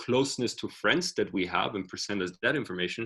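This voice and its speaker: Talking at a fairly quick pace, a man with a non-native accent has a fairly low pitch and ordinary pitch variation. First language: not English. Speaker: author and tech speaker. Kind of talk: online workshop talk. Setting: video call.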